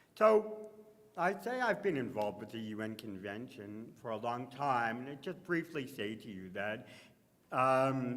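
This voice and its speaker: Audible room echo surrounds a man speaking at a fairly slow pace with very wide pitch swings. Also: medium pitch for a man. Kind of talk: conference panel talk. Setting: conference stage with audience and microphone. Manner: loud.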